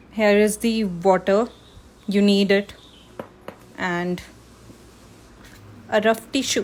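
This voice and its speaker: Speaking very slowly with long, frequent pauses, a woman uses a monotone, flat intonation at a medium pitch over noticeable background noise. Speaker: art teacher and freelance illustrator. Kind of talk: live art tutorial. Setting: live stream. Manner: loud.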